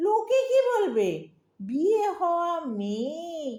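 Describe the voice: Using a put-on character voice, a woman speaks slowly at an extremely high pitch with big pitch swings and a dark, mellow tone.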